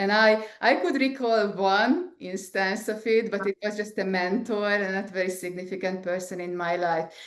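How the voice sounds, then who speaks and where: A woman with an Eastern European accent, medium pitch, fairly even intonation, a moderate pace and hardly any pauses. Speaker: scientist and entrepreneur. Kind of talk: interview. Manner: halting, many fillers.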